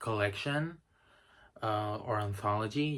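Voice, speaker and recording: On a very clean recording with a silent background, a man with a Spanish accent speaks at a fairly low pitch. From Spain. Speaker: book reviewer. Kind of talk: casual recommendation talk to camera. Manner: hesitant with many fillers.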